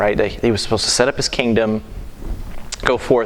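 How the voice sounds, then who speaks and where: A man with a fairly low pitch and ordinary pitch variation talks at a fairly quick pace over noticeable background noise. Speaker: Sunday school teacher. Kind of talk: Bible class teaching. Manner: fast; halting.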